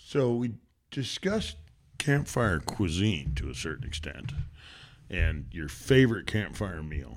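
Pausing long and often, a man with an American accent speaks at a fairly slow pace, his very deep, low voice showing vocal fry and very wide pitch swings. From Washington State. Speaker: podcast co-host, father. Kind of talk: casual chat. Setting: outdoors by a campfire and creek.

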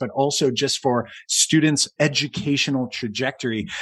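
A man with a fairly high pitch speaks at a moderate pace in a normal speaking voice. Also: dry, close sound with no echo, very clean recording, silent background. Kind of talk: casual chat, podcast conversation. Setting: video recording, podcast.

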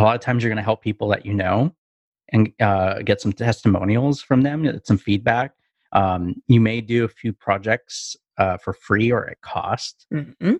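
A man with an ordinary speaking voice talks at a medium pitch and moderate pace with ordinary pitch variation, in a dry, close sound with no echo and a quiet background. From Canada. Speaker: business marketer, podcast co-host. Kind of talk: casual chat.

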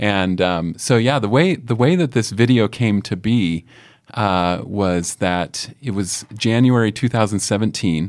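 Fairly low in pitch, a man speaks with ordinary pitch variation. He goes at a fairly slow pace. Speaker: company director. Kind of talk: casual interview chat. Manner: halting, frequent fillers and repeats.

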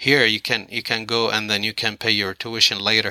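A man with a fairly low pitch, a bright, sharp tone and vocal fry comes through in a very clean recording with a silent background and a dry, close sound with no echo. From Iraq. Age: 40s. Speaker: mobile automotive technician. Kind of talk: casual interview. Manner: halting, many fillers.

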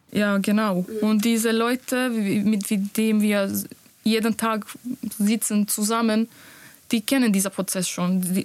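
A woman in a Bosnian accent speaks very slowly at a fairly high pitch, monotone and flat, with very even loudness and long, frequent pauses. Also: dry, close sound with no echo. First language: Bosnian (speaking German). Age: 20s. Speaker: nurse. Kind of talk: interview.

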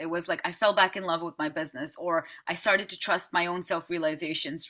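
This woman has a bright, sharp tone and a fairly low pitch. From Netherlands. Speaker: business coach. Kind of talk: interview.

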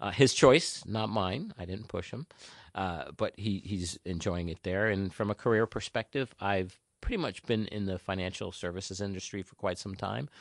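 A man with a very deep, low voice speaks at a moderate pace in a New Jersey accent, the sound dry and close with no echo and the background quiet. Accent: New Jersey American. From New Jersey (North Jersey). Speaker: local politician. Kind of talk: interview.

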